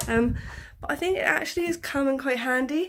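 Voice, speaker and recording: A woman with an English accent at a very fast pace, with ordinary pitch variation. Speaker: vlogger. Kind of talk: casual vlog talk. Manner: heavy breathing.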